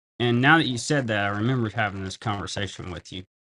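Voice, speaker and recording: With a dry, close sound and no echo, a man speaks at a medium pitch with ordinary pitch variation. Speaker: live-stream banknote seller. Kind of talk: live sales stream. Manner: casual, chatty.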